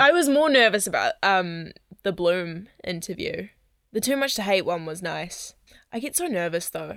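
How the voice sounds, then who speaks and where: The voice moves through very wide pitch swings. The recording is very clean, with a silent background. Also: woman, medium pitch for a woman, moderate pace. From New Zealand. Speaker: singer-songwriter and podcast host. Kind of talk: casual chat.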